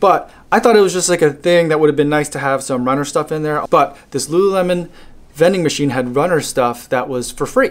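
Ordinary pitch variation at a fairly quick pace. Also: man. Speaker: runner vlogger. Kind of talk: casual vlog chat. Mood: relaxed, mildly enthusiastic. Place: home room. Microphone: phone near.

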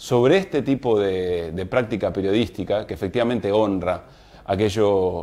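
The voice moves at a moderate pace with a dark, mellow tone and ordinary pitch variation. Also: man. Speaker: program host. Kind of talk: show opening monologue. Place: studio. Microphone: lapel.

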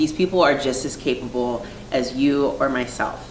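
Light background noise and audible room echo surround the voice. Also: woman. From Virginia, US. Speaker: artist. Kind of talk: interview monologue. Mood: earnest, reflective. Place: home room.

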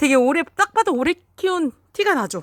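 Recorded dry and close with no echo, a woman's voice moves through very wide pitch swings. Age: 40s. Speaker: vlogger. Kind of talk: casual vlog narration. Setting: visiting mother's home, filming flowers.

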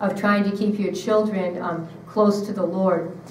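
A woman at a medium pitch talks at a moderate pace with an American accent and monotone, flat intonation. Audible room echo and light background noise sit around her voice. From Syracuse, New York; New York. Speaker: speaker. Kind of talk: retreat talk. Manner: hesitant, with frequent fillers and repetitions. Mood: gentle, earnest. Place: hall.

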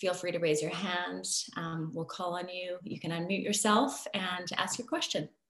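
A woman with a Canadian accent at a moderate pace, noticeable background noise behind her. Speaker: co-moderator and researcher. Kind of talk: webinar moderation. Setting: video call.

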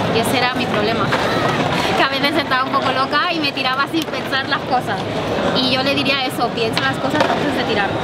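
Over loud background noise, a woman talks at a fairly quick pace. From Barcelona, Spain. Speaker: retired Olympic gymnast. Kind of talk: casual interview chat. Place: street.

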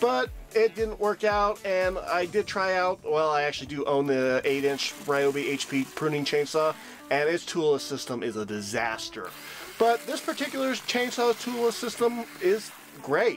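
The pitch swings very widely at a moderate pace. Music plays in the background. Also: man, high pitch for a man. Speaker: tool reviewer. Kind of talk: product review voice-over.

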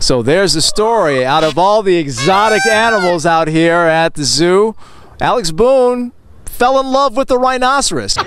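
With light background noise and a dry sound with no echo, a man speaks at a moderate pace and high pitch, his loudness very even and his pitch swinging very widely. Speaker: sports anchor and reporter. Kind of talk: TV sports news anchor reel. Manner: energetic, conversational.

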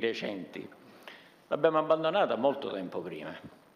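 A man talks with lively intonation. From Italy. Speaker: army general; panelist. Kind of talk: conference talk. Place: meeting room. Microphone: podium.

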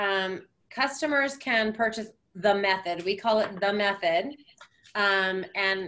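A bright, sharp tone at a fairly slow pace with ordinary pitch variation. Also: woman. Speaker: presenter. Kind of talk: product presentation. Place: home room. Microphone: video call.

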